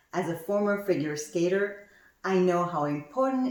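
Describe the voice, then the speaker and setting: A woman's voice makes very wide pitch swings against audible room echo. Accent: Quebec. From Quebec, Montreal area. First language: French. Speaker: actuary turned coach and speaker. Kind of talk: conference talk. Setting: virtual summit presentation.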